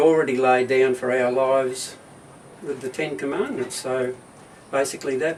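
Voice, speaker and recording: A man with an Australian accent speaks at a medium pitch with fairly even intonation. There is noticeable background noise. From Australia, Hobart (Tasmania). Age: 80s+. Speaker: retired husband interviewed at home. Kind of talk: casual interview. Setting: at home.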